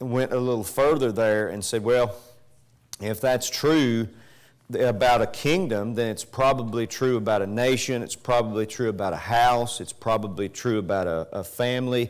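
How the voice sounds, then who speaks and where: Moderate-paced speech from a man, ordinary in pitch movement, against a quiet background. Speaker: preacher. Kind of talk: sermon. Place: church.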